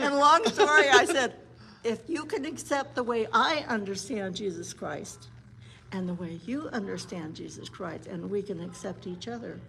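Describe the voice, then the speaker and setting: A woman's fairly high voice, with very wide pitch swings and big swings in loudness. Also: moderate pace. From Montana, Blackfeet (Browning). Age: 70s. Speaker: psychologist. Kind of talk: casual interview chat.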